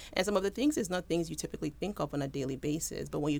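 A woman talks at a very fast pace in a very deep, low pitch. Her voice has vocal fry. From Houston, Texas, Nigerian parents. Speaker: medical resident doctor. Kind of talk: interview.

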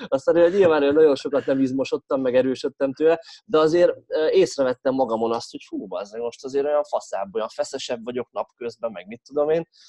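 In an unremarkable speaking voice, a man talks with fairly high pitch, ordinary pitch variation, and big swings in loudness. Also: fairly quick pace, dry, close sound with no echo. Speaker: strength coach and podcast host. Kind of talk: casual chat.

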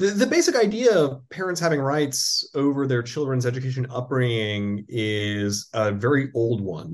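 A normal speaking voice from a man, medium in pitch, with lively intonation, a moderate pace and a quiet background. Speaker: law professor. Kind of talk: interview.

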